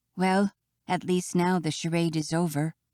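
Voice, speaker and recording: The speaker uses a put-on character voice at a middle pitch, with monotone, flat intonation and a moderate pace. The recording is very clean with a silent background. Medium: read story. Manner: fidgety and emotional.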